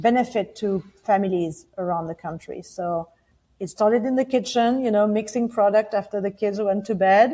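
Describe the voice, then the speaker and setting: With a French accent, a woman speaks at a medium pitch in a dark, mellow tone. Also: ordinary pitch variation, moderate pace. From France. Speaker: founder of a baby care brand. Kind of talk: interview. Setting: podcast.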